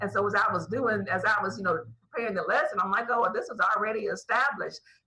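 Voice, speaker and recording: The speaker has a plain, everyday voice. The pitch shows ordinary variation. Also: woman. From Ohio, US Midwest. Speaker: bible teacher. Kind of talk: online bible teaching.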